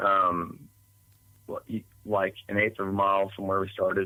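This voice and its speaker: In an Appalachian accent, a man with a fairly low pitch speaks in a bright, sharp tone. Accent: Southern US (Appalachian). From East Tennessee. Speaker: eyewitness storyteller. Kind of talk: podcast interview testimony. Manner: halting, many fillers.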